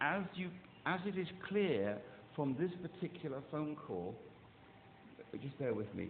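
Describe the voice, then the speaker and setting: A man at a fairly high pitch speaks at a fairly slow pace with very wide pitch swings. Long, frequent pauses break his speech, and room echo is audible. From England. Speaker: caller. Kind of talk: phone complaint. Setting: phone call. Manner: halting.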